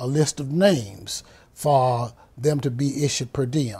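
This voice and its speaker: A man's medium-pitched, somewhat breathy voice with a dark, mellow tone. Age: 70s. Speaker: university band director. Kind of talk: interview.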